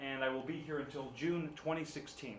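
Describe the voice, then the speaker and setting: A man with an American accent at a fairly quick pace, ordinary pitch variation, audible room echo and noticeable background noise. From US West Coast, San Francisco. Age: 20s. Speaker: English teacher. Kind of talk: classroom talk.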